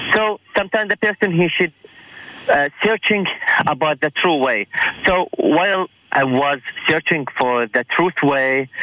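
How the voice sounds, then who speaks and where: A man with a high pitch and lively intonation speaks at a very slow pace with long, frequent pauses. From Iraq. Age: 20s. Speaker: church friend. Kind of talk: casual chat. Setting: phone call.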